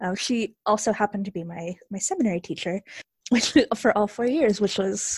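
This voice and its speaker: In an American accent, a somewhat breathy woman speaks at a moderate pace and medium pitch with ordinary pitch variation, the sound dry and close with no echo. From rural Texas. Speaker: former university student. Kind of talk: interview.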